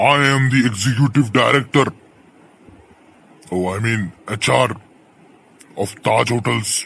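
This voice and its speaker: A man performs a put-on character voice with a pompous tone. He talks at a moderate pace with ordinary pitch variation. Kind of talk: comic overacting. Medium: comedy sketch. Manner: pompous, rambling, mixes English and Hindi.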